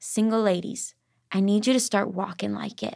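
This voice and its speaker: A woman speaks with a fairly high pitch and fairly even intonation. The recording is very clean, with a silent background. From Arkansas. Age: 20s. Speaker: author, singer-songwriter and worship leader. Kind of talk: casual faith interview.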